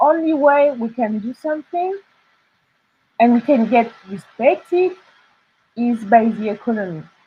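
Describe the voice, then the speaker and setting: In a French accent, the speech moves at a fairly slow pace with long, frequent pauses, very wide pitch swings and big swings in loudness. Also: woman, high pitch for a woman. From France. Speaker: illustrator and artist. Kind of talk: interview. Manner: halting.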